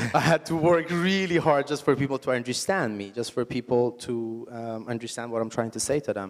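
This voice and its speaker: Hardly pausing at all, a man with an Iranian accent talks at a fairly quick pace. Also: medium pitch for a man, ordinary pitch variation. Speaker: entrepreneur. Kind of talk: onstage interview.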